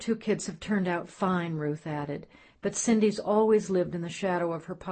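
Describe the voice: Ordinary pitch variation in plain reading aloud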